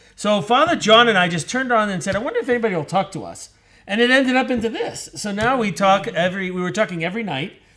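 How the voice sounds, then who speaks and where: Loud and very fast, a man speaks at a high pitch with a bright, sharp tone and lively intonation. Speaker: priest. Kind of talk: casual chat. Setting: live online broadcast.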